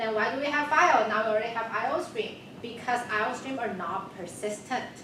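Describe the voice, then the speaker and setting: The recording has noticeable background noise and audible echo from the room. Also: woman. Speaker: university instructor. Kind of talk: lecture. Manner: fast.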